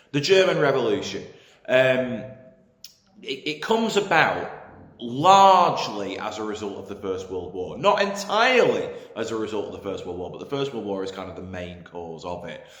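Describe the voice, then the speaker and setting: A man with an English accent speaks at medium pitch and a moderate pace, with very wide pitch swings and big swings in loudness. There is noticeable background noise and audible room echo. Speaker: history teacher. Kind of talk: lecture. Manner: hesitant, many fillers.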